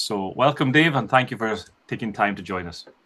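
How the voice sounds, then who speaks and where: With a Scottish accent, the speaker talks at a moderate pace and uses lively intonation. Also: man. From northern Scotland. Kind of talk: casual interview.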